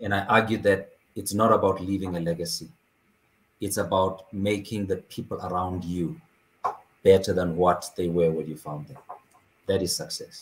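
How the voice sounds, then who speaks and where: A man talks with a very deep, low pitch and a somewhat breathy sound. His loudness swings widely, and long pauses come often. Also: ordinary pitch variation, moderate pace. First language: not English (fourth language). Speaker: author. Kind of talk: interview conversation. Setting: video call.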